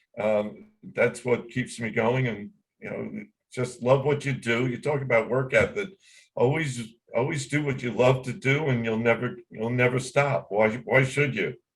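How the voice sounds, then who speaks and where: Speaking at medium pitch, the man sounds somewhat breathy. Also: ordinary pitch variation, moderate pace. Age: 70s. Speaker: record label owner and songwriter. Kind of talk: interview.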